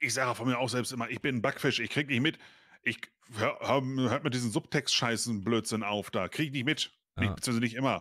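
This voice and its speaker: Fairly quick and with fairly even intonation, a man speaks in a bright, sharp tone. The background is quiet. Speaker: co-host of reaction stream. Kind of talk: casual reaction commentary. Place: home room.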